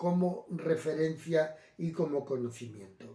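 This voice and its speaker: The man speaks at a very slow pace. His pitch is fairly high, with ordinary variation. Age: 70s. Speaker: Gitano evangelical preacher. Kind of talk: talk on Gitano customs and Bible. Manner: hesitant, many fillers and self-corrections.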